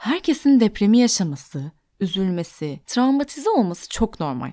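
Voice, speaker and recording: Very clean recording with a silent background: a woman's fairly high yet dark, mellow voice, fairly slow, with very wide pitch swings and a dry, close sound with no echo. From Turkey, Antakya (Hatay). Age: 20s. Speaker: podcast host, psychological counselor. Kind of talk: solo podcast monologue.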